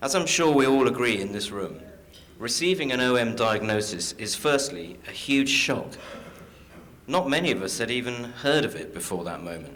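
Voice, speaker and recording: A man with an English accent speaks at a medium pitch, his voice swinging very widely up and down, with audible room echo around him. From London, England. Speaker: caregiver and patient advocate. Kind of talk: conference talk.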